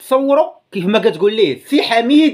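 A man speaks with a Moroccan accent against a quiet background. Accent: Moroccan Darija. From Morocco. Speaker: YouTuber commentator. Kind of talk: casual video commentary. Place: home room. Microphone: phone near.

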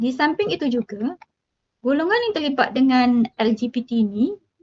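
A woman speaks fairly slowly with lively intonation, in a dry, close sound with no echo. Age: 50s. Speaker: teacher. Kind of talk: interview.

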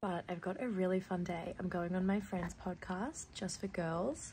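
Speaking at a fairly slow pace with an Australian accent, a woman uses vocal fry and fairly even intonation over light background noise. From Australia, Dandenong Ranges, Victoria; Victoria, Australia. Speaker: artist and vlogger; vlogger. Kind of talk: casual vlog narration. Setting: studio.

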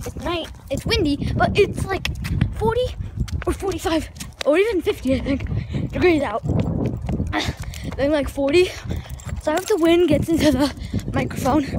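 Over noticeable background noise, the speech comes at a fairly slow pace with a dry sound and no echo. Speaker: dog walker vlogger. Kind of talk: casual vlog chat. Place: street. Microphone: phone near.

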